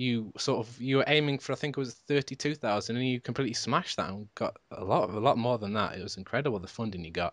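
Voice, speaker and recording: Very fast speech with ordinary pitch variation, in a dry, close sound with no echo over a quiet background. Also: man. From Britain. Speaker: podcast host. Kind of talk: casual interview.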